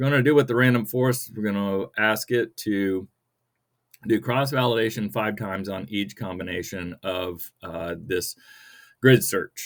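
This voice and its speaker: A man with a fairly low pitch talks at a moderate pace with ordinary pitch variation. The recording is very clean, with a silent background. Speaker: data science YouTuber. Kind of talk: screen-recorded coding tutorial. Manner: hesitant, many fillers; casual, conversational.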